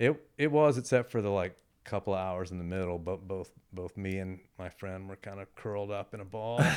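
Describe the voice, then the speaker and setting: A man with an American accent and a normal speaking voice talks at a moderate pace and a fairly low pitch, with ordinary pitch variation and big swings in loudness, on a very clean recording with a silent background. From Texas (Houston area). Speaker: artist and musician. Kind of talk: casual chat.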